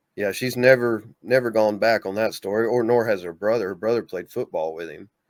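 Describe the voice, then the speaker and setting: Loudness rises and falls sharply, and the pace is fairly quick. Pitch varies in an ordinary way. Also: man, medium pitch for a man. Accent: Southern US. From US South, Mississippi. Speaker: bigfoot experiencer, author. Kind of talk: casual interview.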